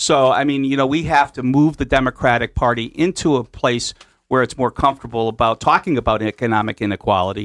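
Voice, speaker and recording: With an American accent, a man speaks at a very fast pace in a medium pitch with ordinary pitch variation, recorded with a dry, close sound, no echo and a quiet background. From Connecticut, US. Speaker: union official. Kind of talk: radio interview discussion. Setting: radio studio.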